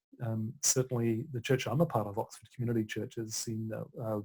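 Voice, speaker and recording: The voice is dark, mellow and somewhat breathy, with fairly even intonation. It moves at a fairly quick pace. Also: man. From Australia. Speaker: author and broadcaster. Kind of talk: interview conversation.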